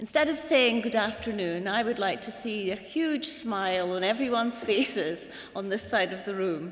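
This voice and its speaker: With a Scottish accent and lively intonation, a woman speaks at a fairly high pitch amid audible room echo. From northern Scotland. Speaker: university governing board chair. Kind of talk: ceremonial speech. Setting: hall with audience. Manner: formal.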